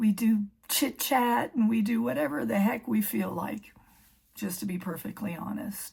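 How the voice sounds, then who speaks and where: Using a normal speaking voice, a woman speaks at a fairly slow pace and a medium pitch. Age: 60s. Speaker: emergency room clerical worker. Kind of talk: casual talk to camera.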